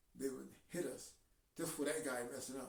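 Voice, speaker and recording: A man speaks in an animated tone at a fairly high pitch. Audible room echo surrounds his voice. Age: 70s. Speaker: video blogger. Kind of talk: casual monologue. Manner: halting.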